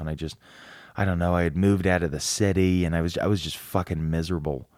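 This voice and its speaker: A man's very deep, low voice, very fast and monotone with flat intonation, on a very clean recording with a silent background. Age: 30s. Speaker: podcast host, filmmaker. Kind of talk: casual monologue. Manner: halting.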